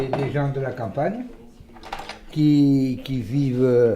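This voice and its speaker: There is noticeable background noise and audible room echo as a man with a fairly high pitch speaks with ordinary pitch variation. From Gironde, southwest France. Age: 60s. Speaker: village hairdresser. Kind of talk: casual interview talk. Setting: in his hair salon while cutting hair. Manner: halting, many hesitations.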